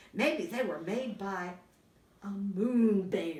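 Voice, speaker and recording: A woman uses a put-on character voice at a medium pitch. She speaks at a very slow pace. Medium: read story.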